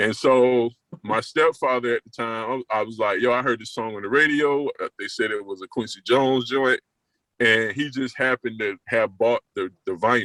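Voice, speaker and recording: A man speaks at a moderate pace in a medium pitch with fairly even intonation, a relaxed tone and a bright, sharp quality. The sound is dry and close, with no echo. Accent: Southern US. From US South, South Carolina (Florence). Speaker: guest on a music podcast, music fan. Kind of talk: casual chat. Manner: relaxed, conversational.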